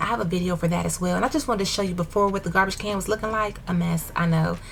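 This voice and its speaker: Background noise is clearly audible in this clip. Over it, a woman talks in an animated way. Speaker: DIY home decor vlogger. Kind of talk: casual voiceover narration of a makeover video. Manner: fast.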